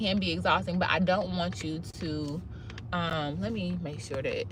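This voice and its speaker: At a moderate pace, a woman's speech comes through with audible room echo. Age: 30s. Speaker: cosmetologist and ADHD life-tips creator. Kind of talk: live video monologue. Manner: casual, conversational with false starts.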